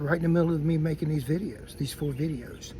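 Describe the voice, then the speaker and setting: A man with a fairly high pitch and a dark, mellow, somewhat breathy tone speaks at a moderate pace. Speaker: YouTuber teaching patrol and recon skills. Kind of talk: casual talk to camera. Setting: outdoors. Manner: halting.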